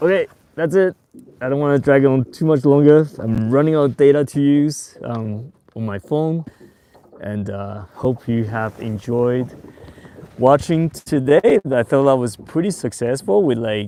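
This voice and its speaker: A man with a non-native accent, fairly slow pace, medium pitch and lively intonation. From Taiwan and Australia. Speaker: fishing youtuber. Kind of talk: live stream tutorial. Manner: casual, hesitant with fillers.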